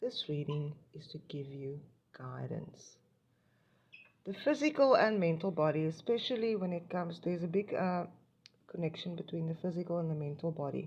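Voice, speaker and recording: A woman with a fairly low pitch and a somewhat breathy voice speaks at a moderate pace with lively intonation and long, frequent pauses. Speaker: tarot reader. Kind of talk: spiritual card reading to camera. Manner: hesitant, many fillers; stuttering today.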